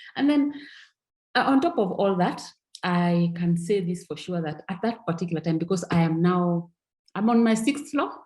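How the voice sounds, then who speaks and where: Lively in intonation and somewhat breathy, a woman speaks at a moderate pace and medium pitch. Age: 60s. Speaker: network marketing distributor. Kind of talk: testimony. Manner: animated.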